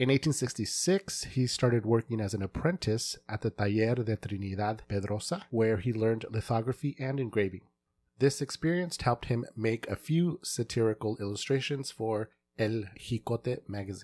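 In an unremarkable speaking voice, a man talks at a medium pitch and moderate pace. The recording is very clean with a silent background, and the sound is dry and close with no echo. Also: ordinary pitch variation. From born in Mexico, grew up in the US.

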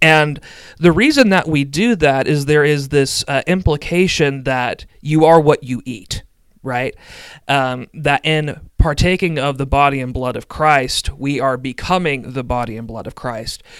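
Fairly slow and fairly high in pitch, a man speaks in an ordinary speaking voice with ordinary pitch variation and big swings in loudness, recorded very cleanly against a silent background. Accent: American. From middle Tennessee, US South. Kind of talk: interview conversation on theology.

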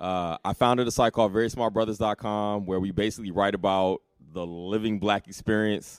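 Using an ordinary speaking voice, a man with an American accent talks at a fairly quick pace, fairly low in pitch and with fairly even intonation. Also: very clean recording, silent background. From military bases abroad and Alabama, US South. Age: 40s. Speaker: writer and blogger. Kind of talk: casual interview. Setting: live event recording.

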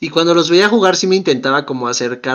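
A man talks at a fairly quick pace. He has a Mexican accent. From Mexico. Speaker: podcast co-host. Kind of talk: casual chat.

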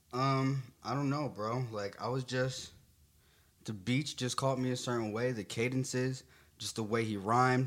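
At a moderate pace, a man speaks in a normal speaking voice with a medium pitch. His intonation is fairly even. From Garfield, New Jersey. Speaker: rapper and producer. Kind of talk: casual interview.

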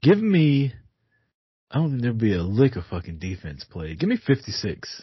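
A man's somewhat breathy, medium-pitched voice at a moderate pace, with very wide pitch swings and big swings in loudness. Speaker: guest sports podcaster, Cowboys fan. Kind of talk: casual sports banter. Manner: profane, opinionated.

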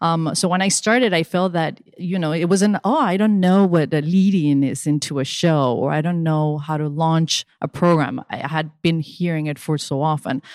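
The speaker talks in a Spanish accent. Pitch variation is ordinary. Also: woman, fairly low pitch for a woman, moderate pace. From Venezuela. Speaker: digital marketing consultant. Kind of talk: casual interview.

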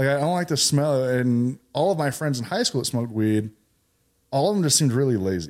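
On a very clean recording with a silent background, a man with an American accent talks fairly quickly at medium pitch in an unremarkable speaking voice. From California. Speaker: military veteran and CBD business owner. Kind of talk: casual interview.

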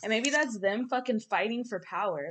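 A woman with an unremarkable speaking voice, fairly high in pitch, ordinary pitch variation, moderate pace, quiet background. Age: 30s. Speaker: podcast co-host. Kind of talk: casual chat.

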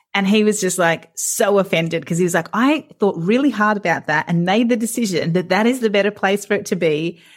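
A woman with an Australian accent at medium pitch with ordinary pitch variation, a fairly quick pace, very even loudness and hardly any pauses. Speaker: podcast host, counsellor. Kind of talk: casual interview chat.

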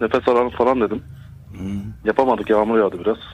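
A fairly low male voice with fairly even intonation. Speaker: caller, earthquake survivor. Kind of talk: testimony. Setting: phone call. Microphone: too close to phone, distorted.

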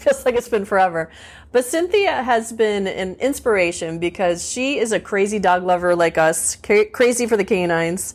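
With a plain, everyday voice, a woman in an American accent speaks at medium pitch and a moderate pace with ordinary pitch variation. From USA. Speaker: podcast host. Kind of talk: scripted narration; casual chat. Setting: in person.

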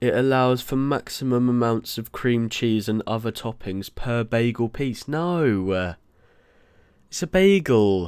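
Lively intonation from a man with a British accent, medium in pitch and fairly slow. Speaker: podcast host and trainee chef. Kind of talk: casual solo chat. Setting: studio. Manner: animated; halting.

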